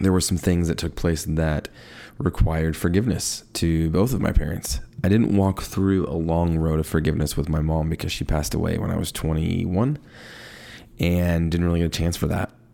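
On a very clean recording with a silent background, a man speaks at a moderate pace in a very deep, low, dark, mellow voice with ordinary pitch variation. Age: 30s. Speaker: podcast host. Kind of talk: casual monologue on faith. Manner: rambling with frequent fillers.

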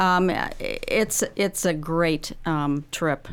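A woman with a fairly low pitch talks in an unremarkable speaking voice with ordinary pitch variation. The recording is very clean, with a silent background. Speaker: senior services trip coordinator. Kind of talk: casual radio interview. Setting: studio. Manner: upbeat, laughs often.

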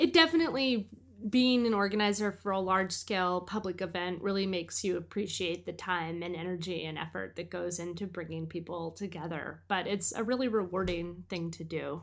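A woman with an American accent and a plain, everyday voice speaks at a fairly quick pace with hardly any pauses, at medium pitch with ordinary pitch variation, in a very clean recording with a silent background. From US Northeast, Portland, Maine area. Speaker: author and musician. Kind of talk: interview conversation. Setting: studio.

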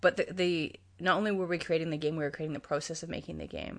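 A woman with a Canadian accent over a quiet background. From Canada, Toronto. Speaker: game designer and educator. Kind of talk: casual interview.

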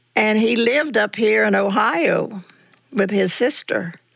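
A woman speaks with a Southern US accent at a fairly slow pace. Vocal fry runs through her voice. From US South. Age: 80s+. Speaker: church member telling life story. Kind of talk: casual interview. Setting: at home, in living room. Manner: cheerful, laughs often.

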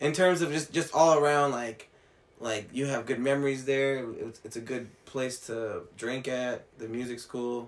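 A man with a plain, everyday voice and an American accent, medium in pitch, fairly even in intonation, at a fairly slow pace. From Mexican heritage, US. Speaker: podcast co-host. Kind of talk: casual chat.

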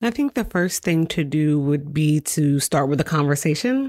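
A woman with a very deep, low pitch speaks at a fairly slow pace on a very clean recording with a silent background. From New York. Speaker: media nonprofit executive director. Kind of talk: casual interview. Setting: studio.

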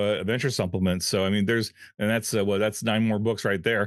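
With an unremarkable speaking voice, a man talks fairly quickly at a fairly low pitch, his intonation fairly even. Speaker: podcast co-host and game line editor. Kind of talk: casual chat.

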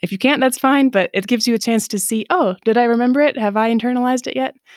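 A woman with an Upper Midwest accent speaks at a very fast pace, recorded very cleanly against a silent background with a dry, close sound and no echo. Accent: Upper Midwest American. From Southeast Michigan. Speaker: online Hebrew teacher. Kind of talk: interview.

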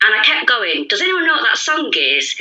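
A woman speaks with a Mancunian accent. Her pace is moderate. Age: 30s. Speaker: podcast guest. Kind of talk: casual chat.

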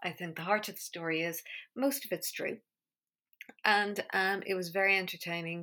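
In an Irish accent, a woman speaks at medium pitch and a moderate pace, with a bright, sharp tone and ordinary pitch variation. She takes long, frequent pauses on a very clean recording with a silent background. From Ireland. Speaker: podcast host. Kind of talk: casual monologue.

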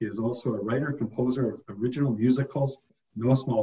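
A man has a normal speaking voice at a medium pitch. He talks at a fairly quick pace. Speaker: podcast host. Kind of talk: casual interview.

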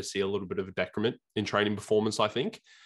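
A man's fairly low voice in an Australian accent, against a quiet background. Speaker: bodybuilding podcast co-host. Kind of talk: casual chat. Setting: video call.

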